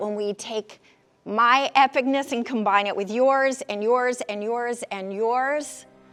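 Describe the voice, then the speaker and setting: A high-pitched woman's voice, very slow and fairly even in intonation, with music in the background. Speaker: keynote speaker and executive coach. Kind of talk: motivational keynote talk.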